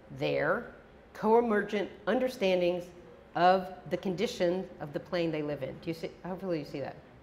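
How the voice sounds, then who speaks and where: There is audible room echo as a woman speaks at a moderate pace in a medium pitch with ordinary pitch variation. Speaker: professor. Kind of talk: lecture.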